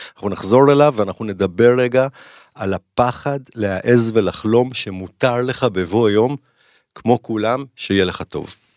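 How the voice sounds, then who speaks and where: On a very clean recording with a silent background, a man at medium pitch speaks at a fairly slow pace in an ordinary speaking voice, with ordinary pitch variation. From Israel, Jerusalem. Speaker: clinical psychologist. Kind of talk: casual interview chat.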